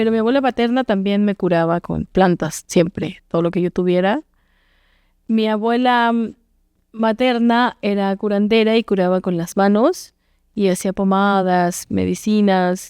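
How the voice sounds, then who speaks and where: A woman speaks in an ordinary speaking voice at a fairly slow pace. The sound is dry and close with no echo, over a quiet background. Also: medium pitch for a woman, ordinary pitch variation. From Oaxaca, Mexico. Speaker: singer-songwriter and actress. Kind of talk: interview answer.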